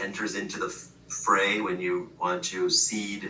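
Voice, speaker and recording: With noticeable background noise and audible room echo, a man speaks. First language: Gujarati. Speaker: professor. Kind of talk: casual chat. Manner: halting, many fillers and restarts.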